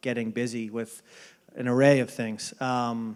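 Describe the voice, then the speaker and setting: A man talks in a Boston accent. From Boston area, US. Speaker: baseball front office executive. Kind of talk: interview. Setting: dinner event. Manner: hesitant, many fillers.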